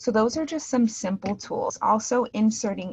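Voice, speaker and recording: Her voice is fairly high and somewhat breathy. The woman shows ordinary pitch variation. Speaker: teacher trainer. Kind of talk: virtual teacher training tutorial. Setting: video call.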